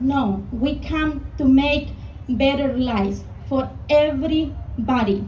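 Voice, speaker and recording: A woman with a Mexican accent speaks at a very slow pace and a high pitch. Audible room echo and noticeable background noise surround her. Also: ordinary pitch variation. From Mexico. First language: Spanish. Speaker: small business owner, rally speaker. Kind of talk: rally speech.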